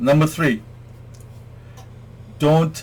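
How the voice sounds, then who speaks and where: A man speaks in a somewhat breathy voice. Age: 60s. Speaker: self-help vlogger. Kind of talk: talk to camera, advice monologue. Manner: hesitant fillers.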